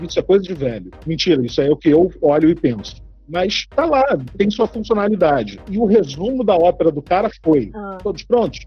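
A man talks at a fairly quick pace in a high pitch. His intonation is lively. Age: 30s. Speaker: family doctor. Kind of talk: casual chat.

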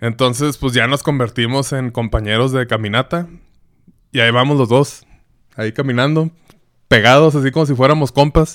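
A Mexican accent at a moderate pace, with fairly even intonation and long, frequent pauses. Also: man, medium pitch for a man. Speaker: podcast host. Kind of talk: casual solo monologue.

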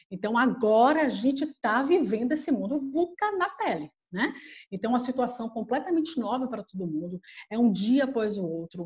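A woman talks at a fairly high pitch, her voice swinging very widely up and down. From Bahia, Brazil. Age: 40s. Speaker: HR head and psychologist. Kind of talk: interview conversation.

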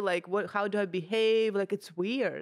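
Someone speaks at a moderate pace with a Russian accent. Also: woman. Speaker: comedian and podcast co-host. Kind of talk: casual chat. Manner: animated.

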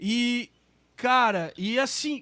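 A man's extremely high-pitched voice, animated in tone. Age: 40s. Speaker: musician and live show host. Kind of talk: casual chat.

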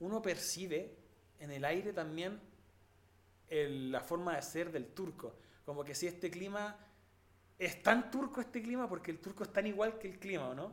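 With a Chilean accent, a man speaks fairly slowly at a high pitch with ordinary pitch variation, over noticeable background noise. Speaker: podcast host, musician. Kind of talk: casual chat.

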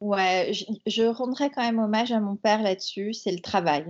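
Her pitch moves in an ordinary way. This woman speaks very slowly. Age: 40s. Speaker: entrepreneur. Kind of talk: interview. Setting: remote call.

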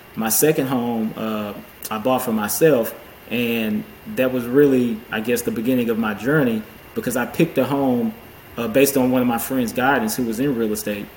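Medium pitch and fairly even intonation from a man at a moderate pace, with noticeable background noise. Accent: American. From Houston, Texas. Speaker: accountant and real estate investor. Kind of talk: casual interview chat.

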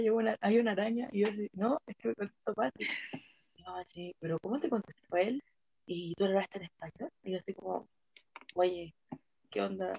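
In a dry, close sound with no echo, a woman speaks at medium pitch and a fairly quick pace with ordinary pitch variation, pausing long and often. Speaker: podcast host. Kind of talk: casual chat. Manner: fast.

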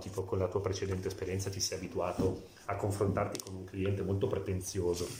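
Amid noticeable background noise and audible room echo, a man with a very deep, low pitch talks at a fairly quick pace. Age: 40s. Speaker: tailor. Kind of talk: interview.

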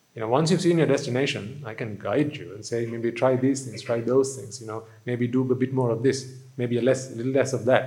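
Amid audible room echo, a man talks fairly quickly in a somewhat breathy voice. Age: 30s. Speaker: Buddhist monk. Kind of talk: sermon. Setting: hall with live audience.

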